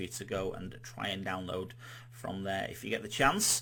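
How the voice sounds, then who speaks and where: A man in a Yorkshire accent speaks at a moderate pace with a fairly low pitch. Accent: Yorkshire accent, noticeable. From Yorkshire, northern England. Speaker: quiz host. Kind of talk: live-streamed quiz hosting. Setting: live stream. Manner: casual, chatty, with many fillers.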